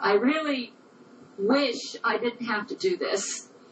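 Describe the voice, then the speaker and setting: A fairly high-pitched woman at a very slow pace, against noticeable background noise. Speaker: personal testimony speaker. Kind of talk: recorded personal statement.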